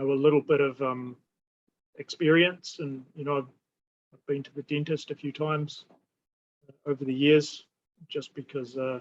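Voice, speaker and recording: The man's voice sits fairly high. His intonation stays monotone and flat. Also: dry, close sound with no echo. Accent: New Zealand. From New Zealand. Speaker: holistic therapy practitioner. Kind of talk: casual interview conversation. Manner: halting, many fillers and repetitions.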